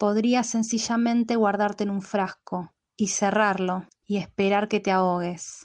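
A woman of medium pitch speaks at a fairly slow pace with monotone, flat intonation. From Buenos Aires, Argentina. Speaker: poet. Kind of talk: poetry reading; casual self-introduction.

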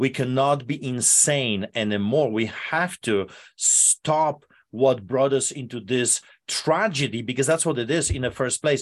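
A man with a Polish accent speaks in a passionate tone at a fairly slow pace. His pitch variation is ordinary, and the background is quiet. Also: medium pitch for a man. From Poland. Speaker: pastor. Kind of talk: interview, passionate preaching. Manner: passionate, forceful.

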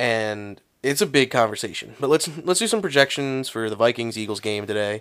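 Over a silent background in a very clean recording, a man with an American accent and an unremarkable speaking voice talks at a fairly quick pace, at medium pitch with ordinary pitch variation. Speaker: sports podcast host. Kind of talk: casual sports chat.

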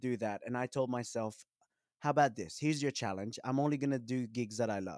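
On a very clean recording with a silent background, a man talks at medium pitch with lively intonation. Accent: Australian. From Western Sydney, Australia. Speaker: musician. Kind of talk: casual interview chat.

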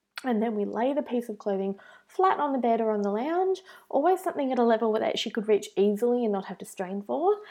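A woman speaks at a very fast pace with an Australian accent. Her pitch swings very widely. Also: fairly high pitch for a woman. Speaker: blogger. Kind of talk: tutorial.

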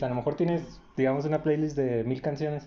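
A man speaks with a plain, everyday voice. His pace is moderate and his pitch varies an ordinary amount. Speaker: podcast co-host. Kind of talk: casual chat.

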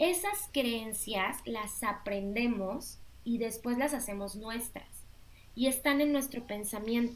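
Amid audible room echo, a woman talks at a very slow pace in a fairly high pitch with ordinary pitch variation. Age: 30s. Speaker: life coach. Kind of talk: interview.

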